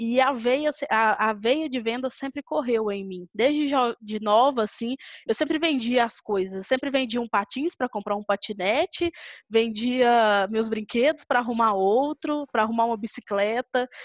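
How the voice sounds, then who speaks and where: A woman's ordinary speaking voice, fairly high in pitch with ordinary pitch variation, at a moderate pace, in a dry, close sound with no echo. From Brazil, Belo Horizonte (Minas Gerais). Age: 20s. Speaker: sales director. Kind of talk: casual interview.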